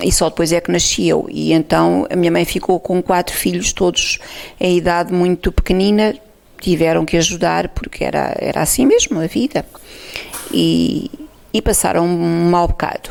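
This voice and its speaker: Moderately paced speech from a woman at very even loudness, with noticeable background noise. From Portugal, Alto Alentejo. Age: 60s. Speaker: oral history interviewee. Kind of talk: testimony. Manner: halting.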